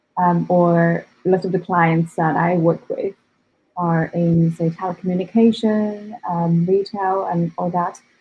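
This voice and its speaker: Somewhat breathy and in a non-native accent, a woman talks with fairly low pitch and monotone, flat intonation. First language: not English. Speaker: data scientist and developer. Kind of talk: interview. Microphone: connection drops.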